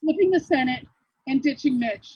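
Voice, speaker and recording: Speaking in a northern US accent, a woman has a high pitch. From Michigan. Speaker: activist. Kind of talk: speech. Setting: outdoor protest rally.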